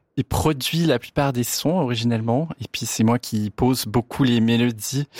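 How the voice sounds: A man talks at a moderate pace with ordinary pitch variation, his pitch medium and his tone slightly mellow. The sound is dry and close, with no echo.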